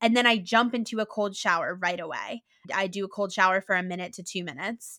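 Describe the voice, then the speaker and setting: A woman's bright, sharp, animated voice at a medium pitch and very fast pace, in a dry, close, very clean recording with a silent background and no echo. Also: ordinary pitch variation. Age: 20s. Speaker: content creator and health advocate. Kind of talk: casual interview.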